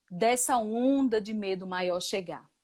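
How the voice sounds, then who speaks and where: A woman's fairly high voice at a very slow pace, on a very clean recording with a silent background. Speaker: spiritual facilitator and physician. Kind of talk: talk on spirituality.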